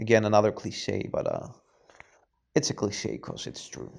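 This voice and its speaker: A man with a non-native accent speaks at a moderate pace. His voice is fairly low and shows vocal fry. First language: not English. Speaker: personal trainer and fitness YouTuber. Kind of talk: self-recorded answers to written interview questions. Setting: self-recorded audio, not live. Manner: hesitant, many filler sounds.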